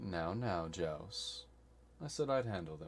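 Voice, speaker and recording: A man's put-on character voice, very deep and low in pitch, at a fairly slow pace over clear background noise. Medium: actual play. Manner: smooth, authoritative.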